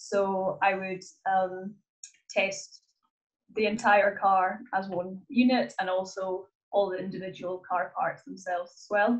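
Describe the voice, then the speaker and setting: Speaking with a Hebridean accent, a woman keeps a medium pitch and fairly even intonation at a fairly slow pace. Her volume rises and falls a lot. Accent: Scottish Hebridean. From Scotland, Isle of Lewis. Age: 20s. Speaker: motorsport engineer. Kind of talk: interview. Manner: hesitant, many fillers.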